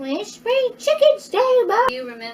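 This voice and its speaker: In a put-on character voice, a woman squeaks at an extremely high pitch. She moves at a moderate pace with very wide pitch swings. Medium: comedy sketch. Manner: giggly, rambling.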